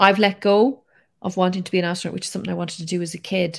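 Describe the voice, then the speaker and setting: On a very clean recording with a silent background, a woman with an Irish accent speaks in a flat monotone at a fairly low pitch. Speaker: science communicator. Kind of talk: casual interview.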